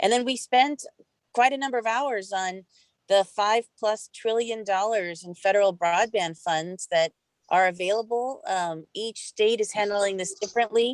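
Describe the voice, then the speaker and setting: Pitch shifts in an ordinary way in an unremarkable speaking voice. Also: woman, medium pitch for a woman, moderate pace, dry, close sound with no echo. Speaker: utility regulator. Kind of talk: virtual meeting report.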